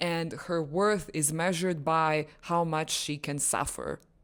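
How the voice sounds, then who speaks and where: With a non-native accent, a woman speaks in a very deep, low pitch at a very slow pace. Her intonation is monotone and flat, on a very clean recording with a silent background. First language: not English. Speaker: lifestyle vlogger. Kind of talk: personal monologue vlog. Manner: halting with self-corrections.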